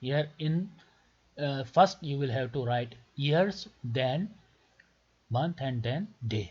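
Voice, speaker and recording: Speaking with a Pakistani accent, a man with a fairly high pitch talks at a very slow pace, somewhat breathy, with lively intonation. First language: Urdu. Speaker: doctor making visa tutorials. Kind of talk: tutorial.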